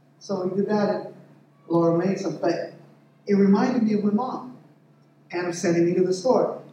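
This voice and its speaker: With long, frequent pauses, a man talks in a high pitch and fairly even intonation over noticeable background noise, with audible room echo. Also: moderate pace. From Mexican-American family, US. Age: 50s. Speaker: lay preacher. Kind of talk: sermon. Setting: church.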